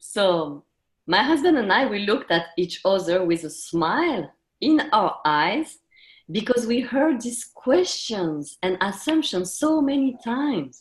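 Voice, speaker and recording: Speaking very slowly with a French accent, a woman uses a fairly high, somewhat breathy voice with very wide pitch swings. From France, half Japanese. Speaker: intercultural coach, panelist. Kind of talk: personal story told on a webinar. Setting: webinar.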